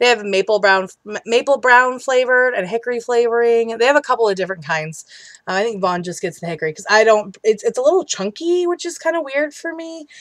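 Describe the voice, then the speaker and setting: A woman mumbles at a very fast pace with hardly any pauses and a fairly high pitch. Her voice has very wide pitch swings and big swings in loudness. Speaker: vlogger. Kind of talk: casual vlog update and Q&A. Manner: mumbling; chatty, many fillers.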